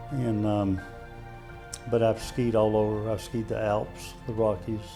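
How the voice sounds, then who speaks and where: Over music in the background, a man with a fairly low pitch speaks in a monotone, flat intonation at a moderate pace, with long, frequent pauses. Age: 70s. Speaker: army veteran. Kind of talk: interview answer.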